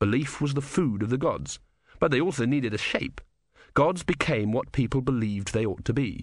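Ordinary pitch variation in an unforced reading voice, quiet backdrop behind

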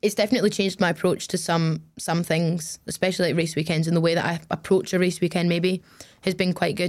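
This woman's voice sits at a fairly low pitch. Her intonation is monotone and flat. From Glasgow, Scotland, raised partly in the Middle East. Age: 20s. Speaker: racing driver. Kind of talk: interview.

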